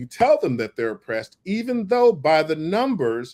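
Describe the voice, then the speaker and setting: With an American accent, a man speaks at a moderate pace using very wide pitch swings. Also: very clean recording, silent background. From US Midwest (St. Louis area). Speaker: activist. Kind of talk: interview. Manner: halting.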